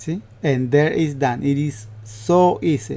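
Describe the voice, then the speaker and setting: This man speaks with a Spanish accent. His pitch is fairly high and his intonation lively. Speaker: upholsterer. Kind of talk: tutorial. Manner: halting.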